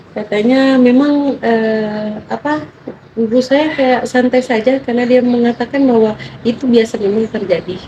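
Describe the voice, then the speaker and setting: Against noticeable background noise, a woman talks at a moderate pace in a high voice. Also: ordinary pitch variation. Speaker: interviewee. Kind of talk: clinical interview. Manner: halting.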